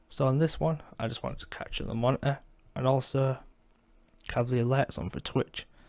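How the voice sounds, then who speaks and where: Pausing long and often, a man at a medium pitch still speaks at a fairly quick pace with fairly even intonation. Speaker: gaming streamer. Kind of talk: tutorial. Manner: casual.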